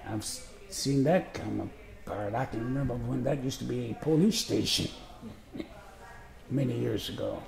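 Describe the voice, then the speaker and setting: There are long, frequent pauses as a man with an American accent talks in a relaxed tone, with audible room echo and noticeable background noise. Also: moderate pace. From US Midwest, Chicago. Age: 80s+. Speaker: retired postal worker, interviewee. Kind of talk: autobiographical interview. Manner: relaxed reminiscing with hesitations.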